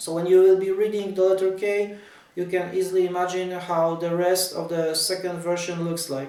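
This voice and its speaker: With a Polish accent, a man speaks at a moderate pace in a high voice with monotone, flat intonation. Noticeable background noise and audible room echo are present. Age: 40s. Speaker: tennis writer. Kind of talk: casual talk to camera about his ebook. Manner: halting.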